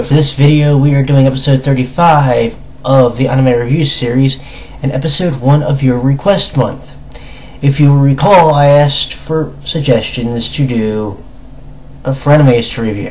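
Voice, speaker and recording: Speaking at a fairly slow pace with long, frequent pauses, a man with a fairly high voice and ordinary pitch variation comes through over noticeable background noise. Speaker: anime reviewer. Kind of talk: casual review talk to camera.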